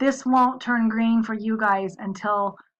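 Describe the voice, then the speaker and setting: A woman with a fairly high voice talks with fairly even intonation in an ordinary speaking voice. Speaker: university instructor. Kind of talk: course welcome video. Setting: office, recorded screen video.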